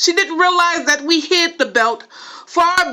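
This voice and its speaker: Projecting a raised voice with a bright, sharp tone, a woman with an American accent talks fairly slowly at an extremely high pitch. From Los Angeles, California. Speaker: poet and writer. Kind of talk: spoken word poetry reading.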